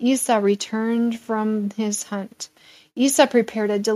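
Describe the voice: Someone reads aloud in a plain way.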